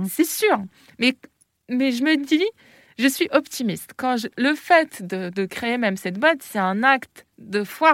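Recorded dry and close with no echo, a woman speaks very slowly in a high voice with very wide pitch swings and long, frequent pauses. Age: 30s. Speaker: entrepreneur. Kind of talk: interview.

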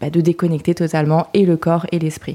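Dark, mellow tone from a woman, her pitch fairly low. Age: 30s. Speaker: spa co-founder and manager. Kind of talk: interview. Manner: hesitant fillers.

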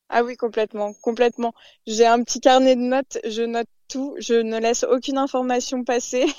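A woman with a high pitch, monotone and flat intonation, at a moderate pace. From Paris region, France. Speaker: fishmonger. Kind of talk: interview.

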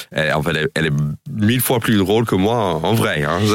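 A man speaks with an American accent and very wide pitch swings. The sound is dry and close, with no echo. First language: English (speaking French). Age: 40s. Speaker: comedian. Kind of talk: radio interview. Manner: halting.

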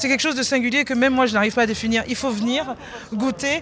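Against noticeable background noise, a woman with a high pitch talks at a fairly quick pace with ordinary pitch variation. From Benin. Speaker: chef. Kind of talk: interview. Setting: backstage at an awards ceremony.

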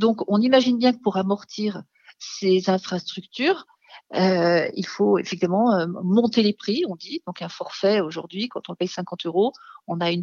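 A woman's ordinary speaking voice at medium pitch, moderate pace and ordinary pitch variation. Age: 50s. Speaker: founder of a mountain resilience organization. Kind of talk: radio interview.

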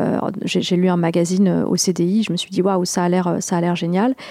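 The tone is dark and mellow, with flat, monotone intonation. The sound is dry and close, with no echo. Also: woman. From southern France, near Toulouse. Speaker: ultra-distance runner and explorer. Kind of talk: radio interview.

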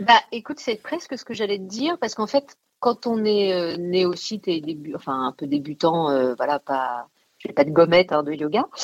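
At a moderate pace, a woman with a fairly low pitch makes very wide pitch swings, in a dry, close sound with no echo. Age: 40s. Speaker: actress and writer. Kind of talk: casual radio interview. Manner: animated.

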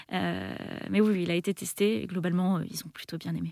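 The speaker is a woman. She talks at a moderate pace. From France, Île-de-France (Melun). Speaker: game designer and event organizer. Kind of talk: radio interview. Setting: radio studio. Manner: hesitant, many fillers and repetitions.

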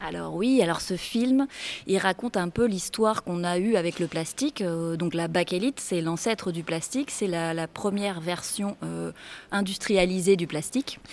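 Her pitch sits fairly low for a woman. Its variation is ordinary. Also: moderate pace. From Réunion. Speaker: freediver and underwater filmmaker. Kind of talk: interview. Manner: hesitant, many fillers.

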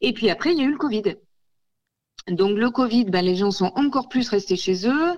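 With lively intonation and very even loudness, a woman of fairly high pitch speaks at a moderate pace, leaving long, frequent pauses. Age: 40s. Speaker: ceramicist. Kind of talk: radio interview. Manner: hesitant, many fillers.

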